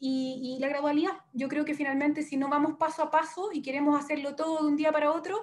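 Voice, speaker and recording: Talking at a very fast clip with hardly any pauses, a woman uses a high pitch and fairly even intonation. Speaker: industry representative. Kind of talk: webinar closing remarks.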